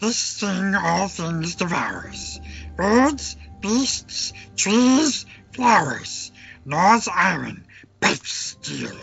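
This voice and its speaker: A man whispers very slowly in a put-on character voice, with a hissing sound. Faint music plays in the background. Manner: hissing, whispering; talks to himself as my precious.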